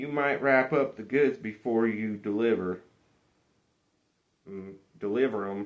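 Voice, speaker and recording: A man puts on a gruff, rumbling character voice at a medium pitch. He talks at a fairly slow pace with long, frequent pauses. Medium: read story. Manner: gruff, grumbling.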